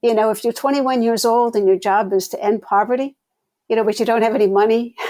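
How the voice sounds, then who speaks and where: A woman with an American accent speaks at a very fast pace in a fairly high pitch. Her tone is dark and mellow, and her intonation stays fairly even. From US Northeast, Rhode Island. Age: 70s. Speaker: sociology professor and founder. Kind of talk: interview.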